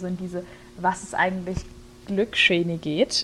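At a moderate pace, the voice is heard over noticeable background noise. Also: woman. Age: 20s. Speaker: theology student and podcast co-host. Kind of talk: casual chat.

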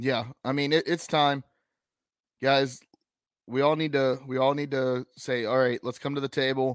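A man with an American accent speaks at a fairly slow pace with long, frequent pauses, his medium-pitched voice flat and monotone, recorded dry and close with no echo. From North Carolina, Piedmont Triad (Lexington). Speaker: sports podcast host. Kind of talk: casual chat and interviews.

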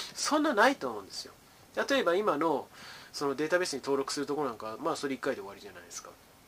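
Over noticeable background noise, a man talks at a very fast pace with a fairly high pitch. His pitch swings very widely and his loudness rises and falls a lot. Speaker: educational YouTuber, former tutor. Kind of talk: casual solo talk on data science.

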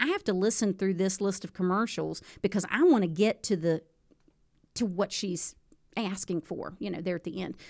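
A normal speaking voice at medium pitch belongs to a woman with ordinary pitch variation. She keeps a moderate pace in a very clean recording with a silent background. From West Virginia. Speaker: high school teacher and radio broadcaster. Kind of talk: casual interview chat.

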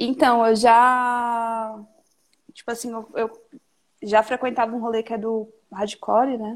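A woman talks at a very slow pace with a fairly high pitch. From Salvador, Bahia, Brazil. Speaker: skateboarder and activist. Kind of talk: casual chat.

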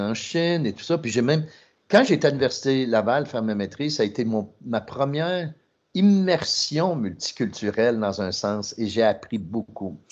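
A man speaks at a medium pitch and moderate pace with lively intonation. The background is quiet. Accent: Quebec. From Trois-Rivières, Quebec. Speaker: podcast co-host, marketing executive. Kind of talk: podcast interview.

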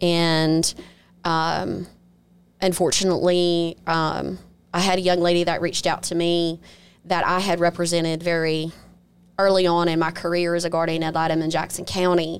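A woman with a Mississippi accent speaks at a fairly low pitch and moderate pace, with monotone, flat intonation, very even loudness, and long, frequent pauses, in a very clean recording with a silent background. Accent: Southern US (Mississippi). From Mississippi Gulf Coast, Biloxi. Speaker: attorney and judicial candidate. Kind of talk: interview conversation.

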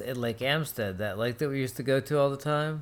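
An unremarkable speaking voice at a moderate pace. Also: man. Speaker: podcast co-host. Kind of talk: casual chat.

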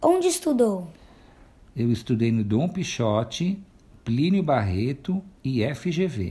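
Man, fairly high-pitched and somewhat breathy, with a dark, mellow tone, very wide pitch swings, a very slow pace and long, frequent pauses. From São Paulo, Brazil. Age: 50s. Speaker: shopkeeper. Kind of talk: interview answers.

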